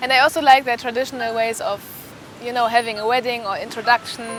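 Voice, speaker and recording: In a German accent, a woman speaks at a fairly high pitch with monotone, flat intonation. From Germany. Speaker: medical student. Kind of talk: interview testimony. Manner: halting, with false starts.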